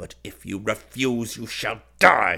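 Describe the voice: A man shouts slowly in a put-on character voice at fairly low pitch. The tone is bright and sharp, with vocal fry and a slightly husky edge. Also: ordinary pitch variation.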